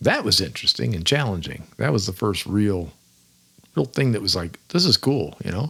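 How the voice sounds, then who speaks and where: With vocal fry and a bright, sharp tone, a man speaks at a moderate pace in a fairly low pitch, his pitch swinging very widely. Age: 70s. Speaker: podcast host, fishing guide. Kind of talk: casual monologue.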